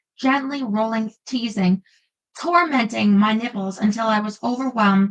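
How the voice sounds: With a quiet background, the natural reading voice shows ordinary pitch variation.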